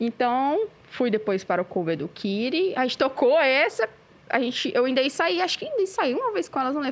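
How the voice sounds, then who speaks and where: A woman's fairly quick, high-pitched speech with very wide pitch swings, over noticeable background noise. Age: 30s. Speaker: metal band vocalist. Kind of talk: casual chat. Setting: cultural centre recording with production crew.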